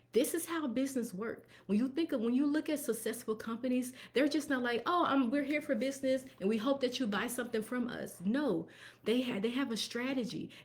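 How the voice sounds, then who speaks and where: Speech at a fairly quick clip with ordinary pitch variation comes through noticeable background noise. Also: woman, high pitch for a woman. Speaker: tax professional and bookkeeper. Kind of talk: live stream business talk. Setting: live stream. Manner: fast.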